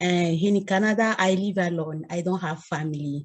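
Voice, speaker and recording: A woman's fairly low, somewhat breathy voice, dark and mellow in tone, at a fairly slow pace. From Democratic Republic of the Congo. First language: French. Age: 30s. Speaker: scholarship recipient. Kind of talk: acceptance speech. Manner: halting.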